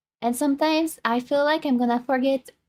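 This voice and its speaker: A woman with a high pitch talks at a moderate pace in fairly even intonation. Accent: slight French. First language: French. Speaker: VTuber streamer. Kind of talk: casual chat. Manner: halting.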